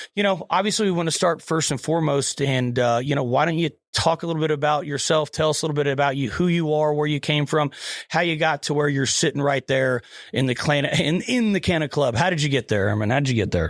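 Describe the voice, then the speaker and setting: A man with an American accent, fairly high pitch, ordinary pitch variation, very even loudness and a very fast pace. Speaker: podcast host. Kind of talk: casual chat.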